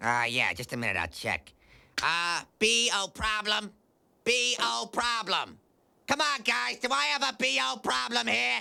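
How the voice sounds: In a cartoonish character voice, a man speaks at a moderate pace with a high pitch and very wide pitch swings.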